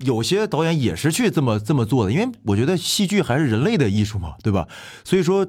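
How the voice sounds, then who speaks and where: A man's fairly high, vocal-fry voice at a very fast pace, with very wide pitch swings, very even loudness, and a very clean recording over a silent background. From Fushun, Liaoning, northeast China. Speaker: musical theatre actor, guest co-host. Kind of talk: casual interview chat.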